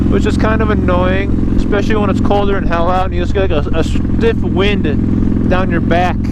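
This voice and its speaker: Moderate tempo in an American accent, noticeable noise behind it. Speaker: motorcycle vlogger. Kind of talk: casual monologue while riding. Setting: outdoors on a motorcycle. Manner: stuttering.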